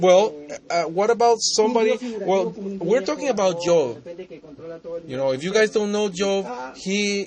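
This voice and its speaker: A high-pitched man speaks with lively intonation at a fairly slow pace, with long, frequent pauses. Noticeable background noise runs behind him. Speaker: debater. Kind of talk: heated debate. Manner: halting.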